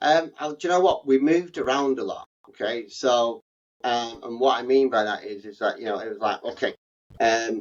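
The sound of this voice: At a moderate pace, a man talks in a medium pitch with ordinary pitch variation.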